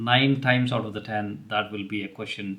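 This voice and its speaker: The man's pitch sits at a medium level. He talks at a moderate pace. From India, Telugu-speaking region. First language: Telugu. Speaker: career advice YouTuber. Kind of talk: advice talk to camera. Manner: casual with many fillers.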